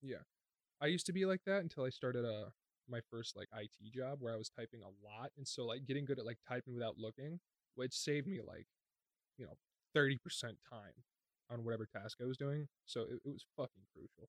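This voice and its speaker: A man with a plain, everyday voice, medium pitch, ordinary pitch variation, fairly quick pace, big swings in loudness and a dry, close sound with no echo. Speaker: podcast co-host, IT worker. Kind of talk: casual chat.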